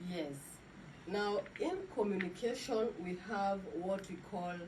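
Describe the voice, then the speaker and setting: Room echo is audible in this recording. A woman talks in a medium-pitched voice. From Kenya. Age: 30s. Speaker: teacher. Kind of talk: classroom teaching demo. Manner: hesitant, with many fillers.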